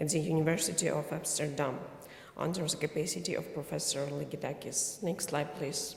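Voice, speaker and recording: A woman speaks at a fairly quick pace in a room with audible echo and noticeable background noise. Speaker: conference speaker. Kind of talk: conference presentation.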